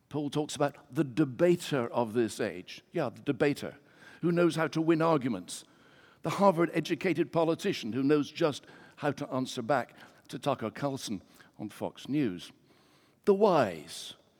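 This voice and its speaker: In a very clean recording with a silent background, a man with a fairly high pitch and vocal fry talks at a moderate pace, using lively intonation and big swings in loudness. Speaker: preacher. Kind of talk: sermon. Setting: church.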